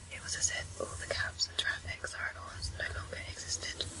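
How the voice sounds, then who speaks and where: A woman's whisper comes at a moderate pace against noticeable background noise. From England. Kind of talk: ASMR book reading. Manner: whispered.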